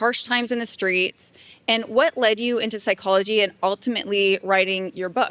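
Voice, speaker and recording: A woman in a US East Coast accent, fairly high-pitched, at a moderate pace, with a dry, close sound with no echo. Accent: US East Coast American. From Maryland, US East Coast. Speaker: podcast host. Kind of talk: interview.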